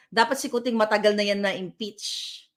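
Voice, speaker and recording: A loud, animated woman's voice on a very clean recording with a silent background. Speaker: political vlogger. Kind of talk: political commentary rant.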